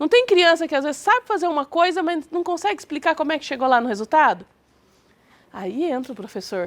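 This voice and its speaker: In a dry, close recording with no echo, a woman talks in an extremely high voice with very wide pitch swings. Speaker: teacher. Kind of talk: lecture. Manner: soft-spoken; animated.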